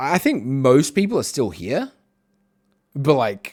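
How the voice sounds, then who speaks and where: A man of medium pitch with vocal fry, very wide pitch swings and a very slow pace. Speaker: streamer. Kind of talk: casual chat. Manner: loud; chatty.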